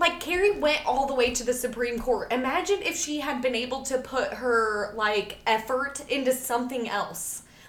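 A woman speaks at a high pitch and moderate pace with ordinary pitch variation and hardly any pauses. Noticeable background noise runs underneath. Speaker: podcast host. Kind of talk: casual chat.

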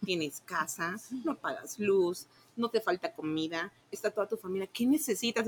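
The sound is dry and close with no echo as a woman speaks at a fairly slow pace. She has a plain, everyday voice at a medium pitch. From Tabasco, Mexico. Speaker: sales coordinator. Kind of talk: casual interview.

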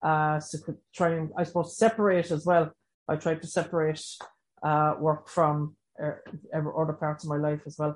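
This woman's voice is very deep and low in pitch, with an Irish accent. She talks at a moderate pace in a monotone, flat intonation. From Ireland. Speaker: recovery education facilitator. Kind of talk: panel discussion.

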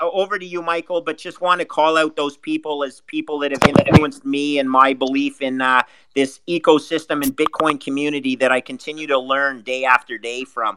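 With a Canadian accent, a man speaks in a fairly high pitch and a bright, sharp tone, recorded dry and close with no echo. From Canada. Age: 50s. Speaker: hedge fund investor. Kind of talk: panel discussion on a live audio room.

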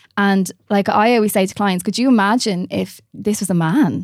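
With an Irish accent, a woman speaks at medium pitch with ordinary pitch variation, on a very clean recording with a silent background and a dry, close sound with no echo. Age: 30s. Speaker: nutritional therapist. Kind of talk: casual chat. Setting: studio.

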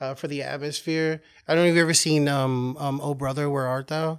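A man talks at a fairly quick pace with a fairly high pitch, in an ordinary speaking voice. The recording is very clean, with a silent background. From Oklahoma. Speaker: podcast guest, retail manager and artist. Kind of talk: casual chat.

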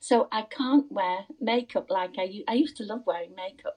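Speaking at a fairly slow pace with an English accent, a woman uses a fairly high pitch, a dark, mellow tone and ordinary pitch variation. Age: 90s. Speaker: interviewee, podcast host's mother-in-law. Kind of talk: casual chat.

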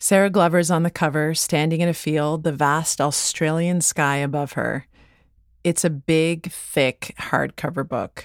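In a very clean recording with a silent background, a woman with a Canadian accent speaks fairly slowly in a very deep, low voice with monotone, flat intonation. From Canada. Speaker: podcast host. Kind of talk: scripted narration.

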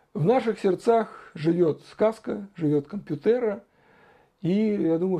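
With a dark, mellow tone, a man speaks at a fairly slow pace using lively intonation. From Russia, Saratov. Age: 40s. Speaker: blogger answering viewer questions. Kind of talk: solo Q&A monologue.

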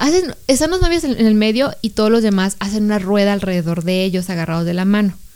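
With a dark, mellow tone at medium pitch, a woman talks at a very fast pace with lively intonation and hardly any pauses. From Mexico, outside Jalisco. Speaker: podcast co-host. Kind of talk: casual chat.

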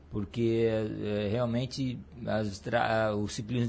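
In a somewhat breathy voice, a man talks fairly slowly. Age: 40s. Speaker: cycling coach and former athlete. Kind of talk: casual interview. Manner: halting, many repetitions.

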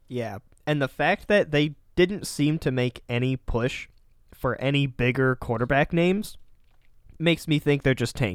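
The sound is dry and close, with no echo. A man talks at a moderate pace with ordinary pitch variation. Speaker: podcast co-host. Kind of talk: casual chat.

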